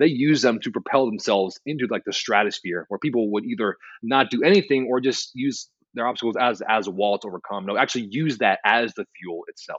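With lively intonation, an ordinary speaking voice moves along fairly briskly. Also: man, medium pitch for a man. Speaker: author and writer. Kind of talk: podcast interview.

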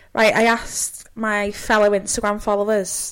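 Here a woman speaks at a medium pitch. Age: 20s. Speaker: podcast host. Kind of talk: casual chat.

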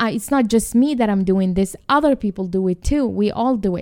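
The voice has a dark, mellow tone and ordinary pitch variation, with a dry, close sound with no echo. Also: woman. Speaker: writer and self-compassion speaker. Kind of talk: explanatory talk in a podcast interview. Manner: halting, with repetitions and restarts.

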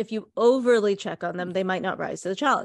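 Against a quiet background, a woman with an American accent speaks in a normal speaking voice at a fairly quick pace with ordinary pitch variation. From US (Indian American). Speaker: art historian and podcaster. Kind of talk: casual chat.

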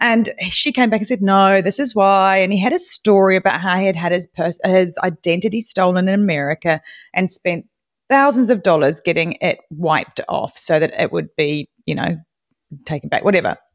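With a New Zealand accent, a woman talks at a moderate pace and a medium pitch, her tone animated and her pitch variation ordinary. The sound is dry and close with no echo, on a very clean recording with a silent background. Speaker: podcaster. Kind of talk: casual chat. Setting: live audio room.

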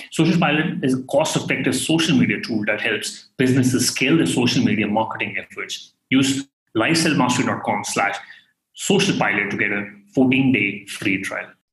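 A man talks at a fairly quick pace in an ordinary speaking voice. His pitch sits in the middle range. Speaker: podcast host. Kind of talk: interview.

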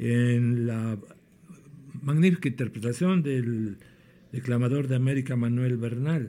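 A man's dark, mellow voice at medium pitch, with ordinary pitch variation and long, frequent pauses. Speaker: podcast host. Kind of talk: casual podcast hosting with introductions. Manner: halting, with fillers and repetitions.

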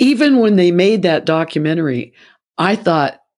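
Against a quiet background, a woman with an American accent speaks in a plain, everyday voice, fairly low in pitch and at a fairly slow pace. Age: 60s. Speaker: singer. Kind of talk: interview conversation.

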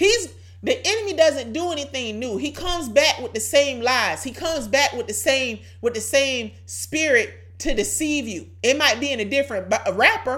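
A woman's high-pitched, animated voice with very wide pitch swings, over music in the background. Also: moderate pace. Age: 30s. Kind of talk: devotional teaching monologue.

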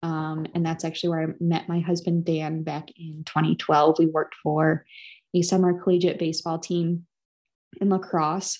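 Speaking at a moderate pace, the woman keeps a fairly low pitch and a monotone, flat intonation. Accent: Upper Midwest. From Wisconsin. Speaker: cranberry grower and podcast host. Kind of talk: casual chat.

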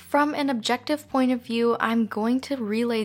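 A woman with a Canadian accent has an ordinary speaking voice with ordinary pitch variation. She speaks at a fairly quick pace on a very clean recording with a silent background. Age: 20s. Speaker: true crime podcaster. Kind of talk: scripted narration.

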